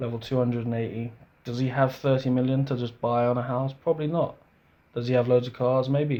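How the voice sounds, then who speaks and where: Speaking at a fairly quick pace, a man with a medium pitch and a dark, mellow tone keeps a monotone, flat intonation. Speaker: gaming youtuber. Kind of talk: casual gameplay commentary. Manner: casual, hesitant with self-corrections.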